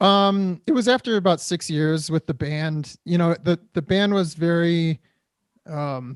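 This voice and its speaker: Speaking at a fairly slow pace with a Midwestern American accent, a man's high pitch varies in an ordinary way in a dry, close sound with no echo. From Detroit area, Michigan. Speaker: actor and drummer. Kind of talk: interview conversation.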